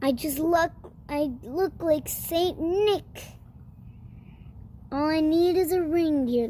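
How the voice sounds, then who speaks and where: A woman growls in a put-on character voice at an extremely high pitch. She speaks at a very slow pace with long, frequent pauses. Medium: read story. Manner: snarling, sneering.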